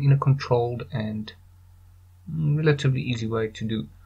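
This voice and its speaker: A man with a non-native accent mumbles in a somewhat breathy voice. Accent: non-American accent, called weird by himself. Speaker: 3D artist, tutorial maker. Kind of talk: screen-recorded software tutorial. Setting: low-quality home microphone. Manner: mumbling, casual, hesitant.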